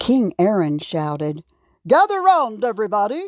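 Little background noise accompanies this unforced reading voice.

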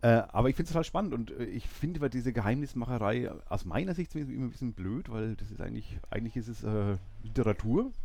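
A man with a dark, mellow tone and vocal fry talks fairly quickly at a medium pitch, his intonation lively. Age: 40s. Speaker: podcast host. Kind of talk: casual chat. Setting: bookshop before opening.

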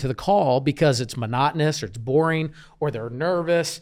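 Speaking with an American accent, a man has a plain, everyday voice at a fairly high pitch, with ordinary pitch variation and a moderate pace, on a very clean recording with a silent background. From Kansas City, US Midwest. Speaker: real estate business coach. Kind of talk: interview. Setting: studio, in person.

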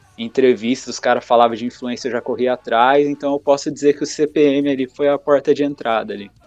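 A man with an unremarkable speaking voice talks at a fairly quick pace with hardly any pauses, in a medium pitch and fairly even intonation. The sound is dry and close with no echo. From interior of São Paulo, Brazil. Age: 30s. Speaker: music page creator and podcaster. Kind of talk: casual chat interview.

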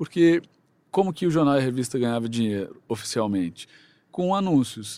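Very clean recording, silent background. A man with a dark, mellow tone talks at a fairly quick pace with very wide pitch swings. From Brazil, Mato Grosso do Sul. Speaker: TV news presenter and journalist. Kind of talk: interview.

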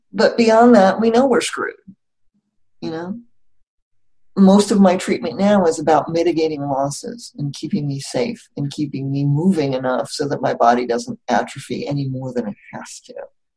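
A woman with a very deep, low pitch and a dark, mellow tone speaks at a moderate pace, somewhat breathy, with very wide pitch swings and big swings in loudness. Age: 50s. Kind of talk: casual interview.

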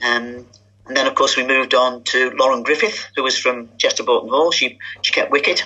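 Over noticeable background noise, a woman talks at a fairly quick pace with very even loudness. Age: 70s. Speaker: women's cricket league president. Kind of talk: interview.

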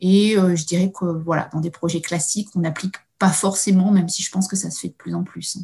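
A woman's somewhat breathy, dark, mellow tone at medium pitch, monotone and flat, at a fairly quick pace. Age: 30s. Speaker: innovation adviser at a research agency. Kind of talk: interview. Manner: halting, many hesitations.

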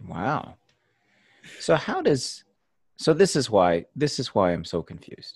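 A medium-pitched male voice at a fairly slow pace, with very wide pitch swings, big swings in loudness, vocal fry, and long, frequent pauses. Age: 30s. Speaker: podcast host. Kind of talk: casual interview chat. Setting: video call.

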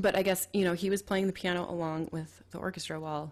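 With an American accent, a woman with an unremarkable speaking voice talks at a fairly quick pace and fairly low pitch, her intonation fairly even, in a very clean recording with a silent background. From Minnesota, Twin Cities. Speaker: podcast host. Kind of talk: scripted narration; casual chat.

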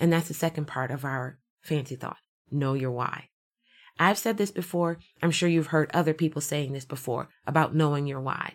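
At a moderate pace, a woman speaks in a very deep, low pitch. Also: ordinary pitch variation, very clean recording, silent background. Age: 40s. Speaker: motivational podcast host. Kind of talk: motivational monologue.

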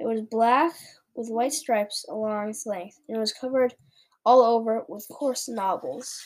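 Quiet background, fairly even intonation, and an unforced reading voice.

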